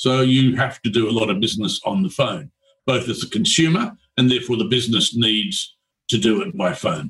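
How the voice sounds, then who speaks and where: Using very wide pitch swings, a man with an Australian accent speaks at a medium pitch. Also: fairly quick pace. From rural Australia. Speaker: telecom company founder. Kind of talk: radio interview. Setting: radio studio.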